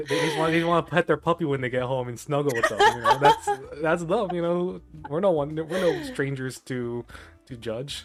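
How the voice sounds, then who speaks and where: With music in the background, a man talks at a fairly quick pace. His pitch is fairly high, with ordinary pitch variation. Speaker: podcast host. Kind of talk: casual chat. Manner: animated.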